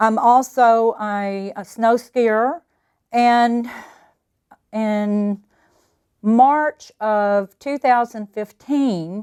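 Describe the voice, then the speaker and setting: A woman at a very slow pace with long, frequent pauses, dry and close with no echo. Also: fairly high pitch for a woman. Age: 60s. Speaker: patient. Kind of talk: testimony. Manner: hesitant, with fillers.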